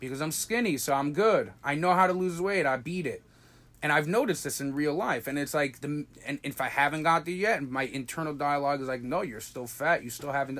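At a fairly quick pace, a man with a normal speaking voice and a fairly high pitch talks with ordinary pitch variation. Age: 20s. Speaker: podcast co-host, Torah study partner. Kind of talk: casual religious study chat.

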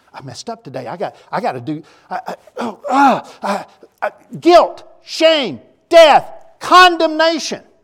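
A man speaks fairly slowly in a Tennessee accent. His loudness swings widely. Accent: Southern US (Tennessee). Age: 60s. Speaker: preacher. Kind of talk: sermon. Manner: halting, frequent repetitions.

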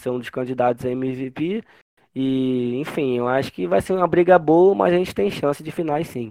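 A man speaks in a plain, everyday voice at a moderate pace, with medium pitch and ordinary pitch variation. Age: 20s. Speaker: basketball fan page owner, journalist. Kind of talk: casual chat.

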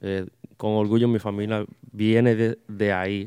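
Very cleanly recorded against a silent background with a dry, close sound and no echo, a man speaks at a fairly slow pace and fairly low pitch in a dark, mellow tone with monotone, flat intonation. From Long Island, New York, of Dominican parents. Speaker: merengue accordionist. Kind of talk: casual interview chat.

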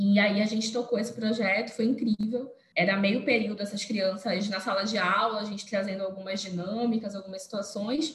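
Over noticeable background noise and audible room echo, a medium-pitched woman talks at a fairly quick pace with hardly any pauses and fairly even intonation. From Belém, Pará, northern Brazil. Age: 20s. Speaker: engineer and youth leader. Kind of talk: podcast interview testimony.

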